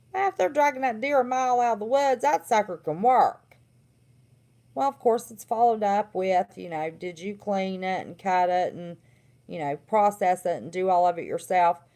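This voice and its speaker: In a Southern accent, a woman speaks at a moderate pace with a dark, mellow tone. Her intonation is lively, and her loudness swings widely. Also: medium pitch for a woman. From West Virginia. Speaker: livestream host, former therapist. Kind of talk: casual livestream monologue.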